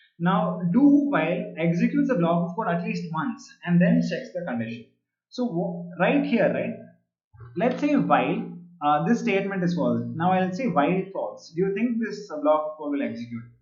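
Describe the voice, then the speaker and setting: Over music in the background and audible room echo, a man with a high pitch speaks using lively intonation. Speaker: programming teacher. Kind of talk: online live class. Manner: fast; hesitant, many fillers.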